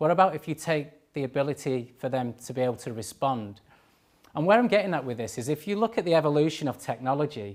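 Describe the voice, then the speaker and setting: Talking very fast with lively intonation, a man with a Manchester accent uses a fairly high pitch. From northern England, Manchester. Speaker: cyber security engineering manager. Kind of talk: conference talk. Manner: hesitant, many fillers.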